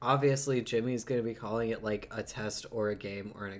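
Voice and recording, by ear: A natural voice reading a passage aloud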